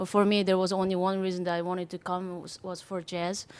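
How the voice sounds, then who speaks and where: A woman speaks at medium pitch with a Korean accent. The recording is very clean, with a silent background. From South Korea. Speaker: jazz drummer. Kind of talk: interview. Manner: hesitant, many fillers.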